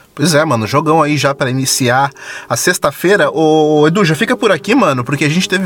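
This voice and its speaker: Over noticeable background noise, a man talks at a fairly quick pace with a fairly high pitch, ordinary pitch variation and very even loudness. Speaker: football podcast host. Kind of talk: casual football chat. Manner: animated.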